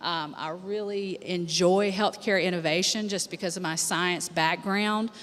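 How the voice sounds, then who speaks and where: Fairly even intonation from a woman with an unremarkable speaking voice, medium pitch and moderate pace. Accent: American. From United States. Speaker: healthcare attorney. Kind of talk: panel discussion.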